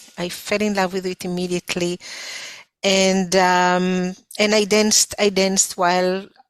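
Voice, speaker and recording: A woman with an Israeli accent speaks at a fairly slow pace and a medium pitch. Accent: foreign (Israeli). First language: Hebrew. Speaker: folk dance instructor. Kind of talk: interview. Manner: halting, many fillers.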